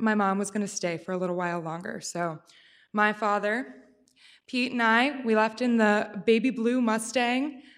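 A woman with an American accent and a plain, everyday voice speaks at a fairly high pitch with ordinary pitch variation, on a very clean recording with a silent background. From Pennsylvania. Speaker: storyteller. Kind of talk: live storytelling. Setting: stage with audience.

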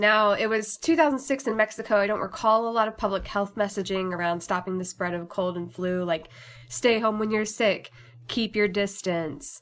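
Speaking with an American accent, this is an ordinary speaking voice. The pace is moderate, and the pitch varies in an ordinary way. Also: woman, medium pitch for a woman. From southern Indiana. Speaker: radio producer and talk show host. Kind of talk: personal storytelling. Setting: recorded at home.

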